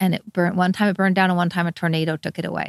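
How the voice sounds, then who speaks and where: A woman with a fairly low pitch talks very fast in fairly even intonation. The recording is very clean, dry and close, with a silent background and no echo. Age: 50s. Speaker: bike shop owner and former social worker. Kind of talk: interview.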